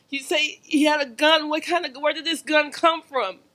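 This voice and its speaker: In a raised, projected voice, a woman speaks at a fairly slow pace, her high-pitched tone bright and sharp, with fairly even intonation. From Jamaica. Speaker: activist, family member of police shooting victim. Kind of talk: testimony at public rally. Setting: lecture hall event with audience.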